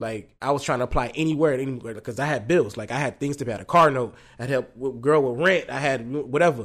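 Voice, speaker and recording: Very fast and with hardly any pauses, a man speaks at a medium pitch with ordinary pitch variation. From Haitian family. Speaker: chef and food entrepreneur. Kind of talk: casual interview chat. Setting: in person sit-down.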